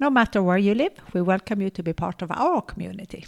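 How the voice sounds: Vocal fry colors a woman's medium-pitched voice. She talks at a fast pace with lively intonation.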